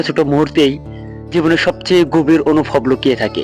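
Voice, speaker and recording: A man with a fairly high voice and ordinary pitch variation talks while music plays in the background. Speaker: radio show host. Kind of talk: radio-style story narration.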